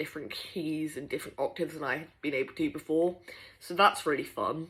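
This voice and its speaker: Someone talks with a British accent. The background is silent, and the recording is very clean. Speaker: vlogger. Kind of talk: casual video diary.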